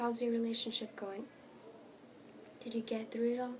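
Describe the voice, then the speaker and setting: The voice has a gentle tone and monotone, flat intonation, heard over noticeable background noise. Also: woman. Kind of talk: ASMR page-flipping, soft spoken reading aloud. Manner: soft, gentle, whispered.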